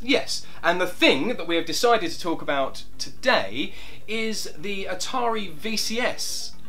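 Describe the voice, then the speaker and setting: Music plays in the background as a man with a high pitch speaks fairly slowly with lively intonation. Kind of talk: casual talk to camera.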